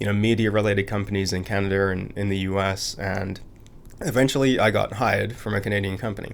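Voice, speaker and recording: A man's fairly low voice at a very fast pace, monotone and flat in intonation. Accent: American. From England, Birmingham. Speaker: entrepreneur. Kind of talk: interview conversation.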